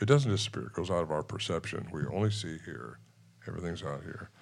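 A man speaks with very wide swings in pitch. His voice has vocal fry. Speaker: Bigfoot researcher and author. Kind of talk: storytelling on stage at a live event. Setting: stage with audience.

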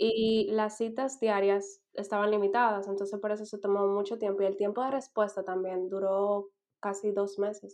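Pitched at a medium level, a woman talks in a monotone, flat way with hardly any pauses. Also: moderate pace. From Dominican Republic. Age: 20s. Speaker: master's student. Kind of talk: casual interview chat.

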